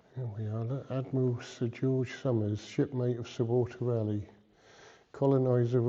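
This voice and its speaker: The speaker talks at a moderate pace with a monotone, flat intonation. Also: man. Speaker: travel vlogger. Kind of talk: walking tour vlog. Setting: inside a church. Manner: hesitant, many ums.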